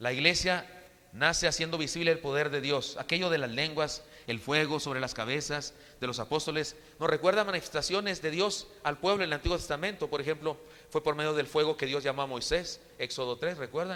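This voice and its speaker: This man speaks at a fairly quick pace with a fairly high pitch and ordinary pitch variation. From Chihuahua, northern Mexico. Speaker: preacher. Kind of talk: sermon. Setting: church. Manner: halting, frequent repetitions.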